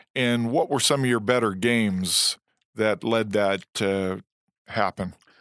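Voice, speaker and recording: Against a very clean, silent background, a man with an unremarkable speaking voice talks at a fairly slow pace with very even loudness, in a dry, close sound with no echo. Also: medium pitch for a man, ordinary pitch variation. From Illinois. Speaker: former NFL player, guest interviewer. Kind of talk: interview.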